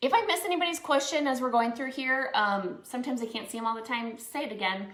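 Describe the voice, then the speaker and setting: The voice has ordinary pitch variation, with audible room echo. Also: woman. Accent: Minnesotan. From Minnesota. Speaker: crafts instructor and small business owner. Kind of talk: live painting tutorial. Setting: live stream. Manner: casual, many filler words.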